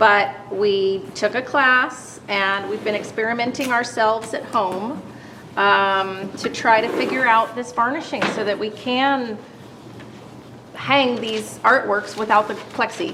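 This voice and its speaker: Audible room echo accompanies a woman whose pitch is fairly high. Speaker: presenter, watercolor artist. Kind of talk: demonstration. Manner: loud.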